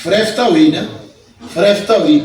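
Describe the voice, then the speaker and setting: A man is speaking here. Noticeable background noise and audible room echo are present. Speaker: Islamic preacher. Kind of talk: sermon. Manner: animated.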